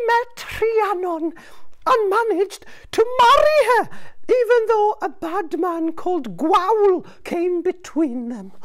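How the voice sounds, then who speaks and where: Put on as a character, the voice has an extremely high pitch and moves at a fairly slow pace. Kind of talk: children's storytelling. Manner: teasing, bargaining.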